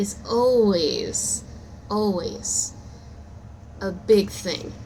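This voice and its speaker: A woman is speaking in a room with audible echo. Noticeable background noise runs behind her. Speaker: amateur storyteller and aspiring author. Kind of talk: improvised storytelling; casual channel intro. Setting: recording at work. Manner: casual, halting with fillers.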